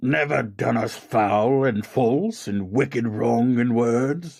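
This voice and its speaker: Here a man puts on a character voice at a medium pitch. He delivers it at a very slow pace. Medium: read story. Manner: solemn, grave.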